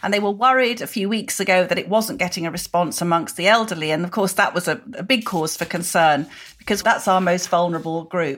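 At a fairly quick pace and with hardly any pauses, a woman speaks at medium pitch with an unremarkable speaking voice. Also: ordinary pitch variation. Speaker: podcast co-host and newspaper columnist. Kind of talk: casual chat and interview.

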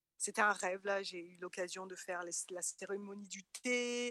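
A woman speaks fairly slowly at a medium pitch, with fairly even intonation. The sound is dry and close, with no echo. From France. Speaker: interviewee. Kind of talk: casual chat. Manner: hesitant, repeats words.

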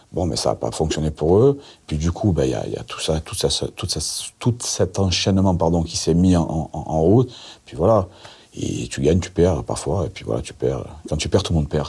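A dark, mellow voice with vocal fry and lively intonation speaks at a fairly slow pace on a very clean recording with a silent background. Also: man, very deep, low pitch for a man. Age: 50s. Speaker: convicted drug trafficker telling his story. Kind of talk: interview storytelling.

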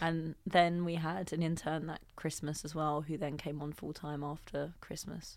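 A woman's very deep, low voice in a London accent, monotone and flat, with hardly any pauses, on a very clean recording with a silent background. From Southeast London. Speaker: entrepreneur. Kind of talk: interview. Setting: studio. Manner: thoughtful, deliberate; occasional stutter.

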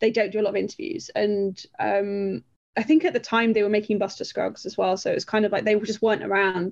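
A woman speaks with a Yorkshire accent. Her pace is very fast. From northern England, near Sheffield. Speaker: film writer and author. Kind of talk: interview. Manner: hesitant, many fillers.

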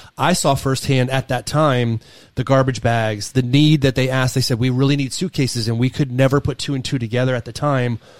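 In a very clean recording with a silent background, a man talks at a fairly quick pace in an unremarkable speaking voice, medium in pitch with fairly even intonation. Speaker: podcast host. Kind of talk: casual chat.

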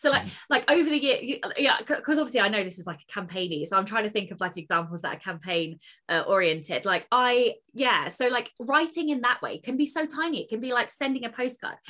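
With an English accent, a woman speaks at a fairly quick pace with hardly any pauses, her high pitch swinging very widely in a bright, sharp tone. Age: 30s. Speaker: podcast co-host, author. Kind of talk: casual chat.

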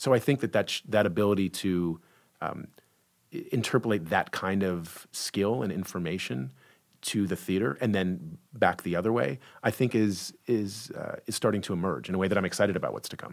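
In an American accent, a man with fairly low pitch, vocal fry and lively intonation speaks at a fairly quick pace. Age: 40s. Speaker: theatre director. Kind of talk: interview.

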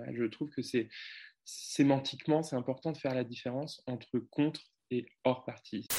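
A man talks at a medium pitch with a dark, mellow tone. His intonation stays fairly even. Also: moderate pace, quiet background. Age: 20s. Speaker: parliamentary candidate. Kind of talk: interview. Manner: confident.

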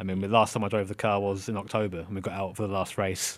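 Talking at a very fast pace, a man with an English accent and a fairly low pitch comes through a very clean recording with a silent background. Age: 30s. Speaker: content creator and racing driver. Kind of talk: interview.

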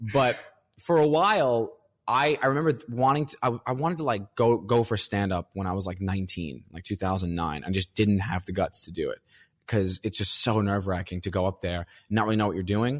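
Lively intonation colors a man's unremarkable speaking voice, pitched fairly low. The sound is dry and close with no echo, on a very clean recording with a silent background. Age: 30s. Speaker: comedian.

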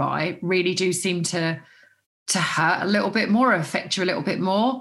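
Against a quiet background, an Essex accent comes through at a moderate pace, somewhat breathy and with lively intonation. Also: woman. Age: 40s. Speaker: celebrity, reality show contestant. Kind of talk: casual chat.

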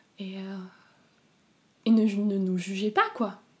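A woman's somewhat breathy voice with monotone, flat intonation. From southern France. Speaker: interviewee sharing abortion experience. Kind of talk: personal testimony. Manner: halting, with many repetitions.

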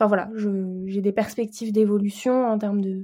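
In a very clean recording with a silent background, a woman with a fairly high pitch and a dark, mellow tone speaks at a fairly slow pace, somewhat breathy, in a monotone, flat intonation. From Paris region, France. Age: 20s. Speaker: communications project manager and baking blogger. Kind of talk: interview testimony.

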